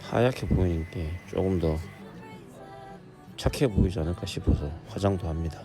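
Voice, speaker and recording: Music plays behind a man with a very deep, low voice and lively intonation. He keeps a moderate pace with long, frequent pauses. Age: 40s. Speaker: defendant in a criminal trial. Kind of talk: casual vlog talk to camera.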